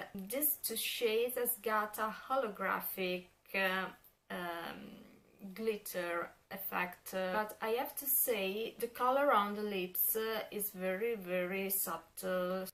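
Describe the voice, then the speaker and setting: Speaking in an Italian accent, a woman keeps a medium pitch with ordinary pitch variation. Her pace is very slow. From Italy. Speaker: beauty vlogger. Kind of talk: product review. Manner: halting, many fillers.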